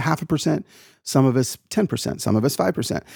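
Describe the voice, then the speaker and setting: A man talks fairly quickly in an ordinary speaking voice with lively intonation. The recording is very clean and dry, with a silent background, close sound and no echo. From US South, Atlanta, Georgia. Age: 40s. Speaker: author and speaker. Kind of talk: casual chat.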